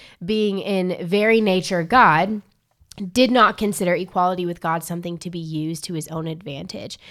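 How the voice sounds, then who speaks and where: A woman with an unremarkable speaking voice at a medium pitch and moderate pace, with ordinary pitch variation and big swings in loudness, on a very clean recording with a silent background. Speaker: college ministry podcast co-host. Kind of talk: casual chat and Bible discussion. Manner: bubbly, laughs a lot.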